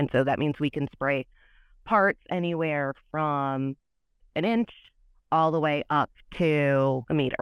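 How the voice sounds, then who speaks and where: Her pitch is very deep and low, and this woman talks at a fairly slow pace with ordinary pitch variation and long, frequent pauses. The sound is dry and close with no echo, against a quiet background. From US Midwest, Michigan. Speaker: materials scientist. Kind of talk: technical interview.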